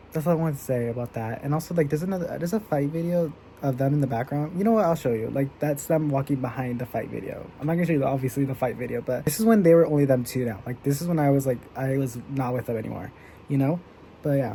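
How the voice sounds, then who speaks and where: The voice is quiet and very fast, set against noticeable background noise. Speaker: vlogger. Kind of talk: casual chat. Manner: low energy.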